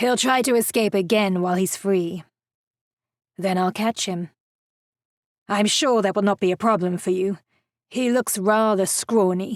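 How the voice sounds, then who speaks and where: The put-on character voice is gruff, dry and close with no echo. It moves at a moderate pace with long, frequent pauses. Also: woman, medium pitch for a woman. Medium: read story. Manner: gruff, brusque.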